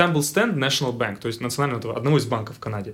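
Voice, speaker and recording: A man speaks at a medium pitch. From Russia, Tyumen. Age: 20s. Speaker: engineer. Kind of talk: casual chat.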